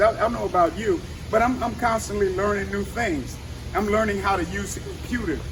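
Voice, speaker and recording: With noticeable background noise behind him, a man uses a raised, projected voice at a high pitch, an animated tone, lively intonation and a moderate pace. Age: 60s. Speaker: fitness trainer and active aging speaker. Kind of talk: motivational talk. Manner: halting.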